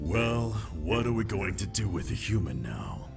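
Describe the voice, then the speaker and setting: Putting on a character voice, a man speaks at a moderate pace with fairly low pitch while clear music plays in the background. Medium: read story. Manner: scornful.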